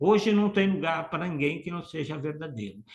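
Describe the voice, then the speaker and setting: Very wide pitch swings run through a man's speech at a fairly slow pace. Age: 60s. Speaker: motivational speaker. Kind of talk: online workshop talk. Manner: animated.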